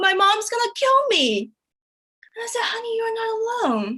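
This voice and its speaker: A woman with a Chinese accent speaks at a moderate pace with very wide pitch swings. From China. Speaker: comedian. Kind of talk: stand-up.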